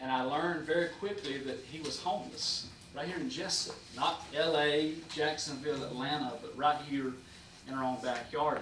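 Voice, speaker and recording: A man with a Southern US accent speaks at a moderate pace in a fairly high pitch, with fairly even intonation. Audible room echo and noticeable background noise are present. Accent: Southern US (Georgia). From US South (Jesup, Georgia). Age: 30s. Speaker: pastor. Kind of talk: public address at city meeting. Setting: city commission meeting. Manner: hesitant with many fillers.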